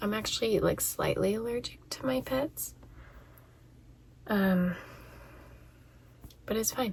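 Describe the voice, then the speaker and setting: Soft-spoken, a woman talks at a fairly slow pace with long, frequent pauses. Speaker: vlogger and educator. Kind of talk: casual chat. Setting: in a closet at home.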